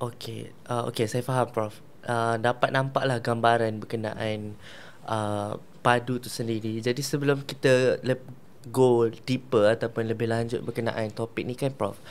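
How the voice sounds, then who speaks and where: A man speaks at a fairly slow pace. His intonation stays monotone and flat. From Malaysia. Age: young. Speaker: law student podcast host. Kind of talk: casual interview. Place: studio. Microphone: lapel.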